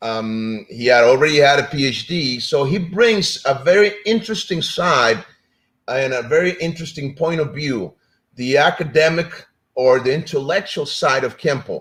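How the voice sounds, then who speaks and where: Fairly slow and fairly high-pitched, a man speaks with lively intonation. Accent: Spanish. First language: Spanish. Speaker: martial arts instructor and show host. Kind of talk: live-stream talk show intro. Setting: live stream. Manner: casual, hesitant with fillers.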